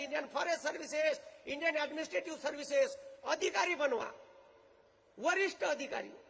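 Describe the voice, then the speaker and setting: An animated man speaks in a raised, projected voice at an extremely high pitch. His tone is bright and sharp. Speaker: motivational speaker. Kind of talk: public speech. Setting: stage with audience, loudspeaker.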